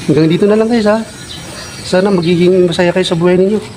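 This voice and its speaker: A man speaks with a high pitch. Background noise can be heard clearly. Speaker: vlogger. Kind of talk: casual vlog monologue. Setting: outdoors at a basketball court. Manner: speech impediment, stumbling over words.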